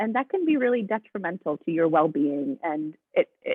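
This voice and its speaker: Her intonation lively, a woman talks at a moderate pace in a plain, everyday voice. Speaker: sports psychology coach. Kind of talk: webinar presentation.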